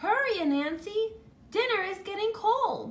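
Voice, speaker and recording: This is a squeaky, put-on character voice. It moves at a moderate pace with lively intonation. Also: woman. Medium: read story.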